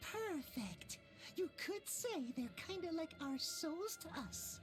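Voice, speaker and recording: Clear music plays in the background as a put-on character voice speaks at an extremely high pitch and a fairly slow pace. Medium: video game. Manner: playful, cat puns.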